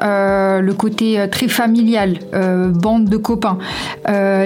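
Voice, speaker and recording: A woman with a medium pitch speaks at a very slow pace. Music plays behind her, and room echo is audible. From Lyon, France (5th arrondissement). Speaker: photographer, co-host. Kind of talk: casual chat.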